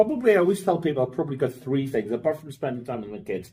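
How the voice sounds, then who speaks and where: A man with a Northern Irish accent speaks in a fairly high pitch that swings very widely. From Northern Ireland, Belfast. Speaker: finance operations executive. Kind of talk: podcast interview. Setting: in person. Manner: casual, with fillers and repetitions.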